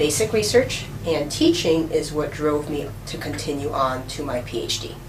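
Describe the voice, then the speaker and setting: A woman speaks with a very deep, low pitch. Audible room echo and noticeable background noise surround her voice. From New York City. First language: Russian. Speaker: professor. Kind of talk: interview.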